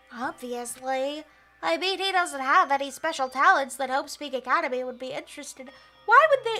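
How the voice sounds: Over faint music in the background, a woman does a put-on character voice, nasal and high-pitched, with lively intonation. She talks at a fairly quick pace, and her loudness swings widely.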